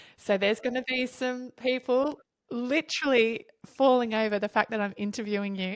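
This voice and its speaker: A woman with an Australian accent talks at a moderate pace in a high pitch. Her pitch varies in an ordinary way, and the sound is dry and close with no echo. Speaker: podcast host, dance teacher. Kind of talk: interview podcast.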